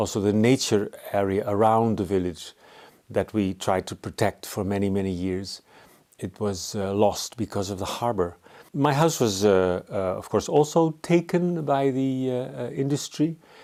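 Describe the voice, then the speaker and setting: In a Dutch accent, a dark, mellow voice moves at a moderate pace with lively intonation, recorded very cleanly against a silent background. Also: man, fairly low pitch for a man. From Netherlands. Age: 60s. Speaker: artist. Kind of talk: interview. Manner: halting.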